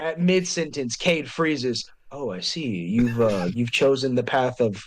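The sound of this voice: In an unforced reading voice, the speaker delivers the words with lively intonation.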